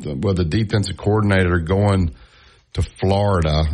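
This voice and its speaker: A man with a Southern US accent, fairly low pitch and ordinary pitch variation, at a fairly slow pace against a quiet background. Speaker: sports radio host. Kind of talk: sports talk radio. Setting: studio.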